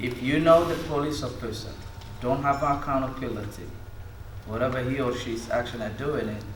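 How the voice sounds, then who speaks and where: A speaker with a non-native accent uses fairly even intonation. Audible room echo and noticeable background noise accompany the voice. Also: man. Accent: foreign. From immigrant, not US-born. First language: not English. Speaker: community member giving public comment. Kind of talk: public comment at community meeting. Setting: community listening session in meeting hall. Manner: halting, non-native phrasing.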